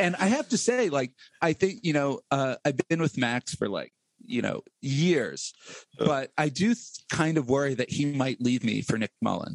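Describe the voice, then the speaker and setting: A man with an American accent and an ordinary speaking voice, fairly high in pitch, with lively intonation and a moderate pace, in a dry, close sound with no echo. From central Pennsylvania, US. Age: 40s. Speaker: political podcast host, guest here. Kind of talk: casual political discussion.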